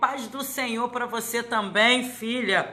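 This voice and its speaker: A woman with a fairly high pitch and a bright, sharp tone speaks at a very slow pace amid audible room echo. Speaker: pastor. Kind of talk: live stream greeting viewers.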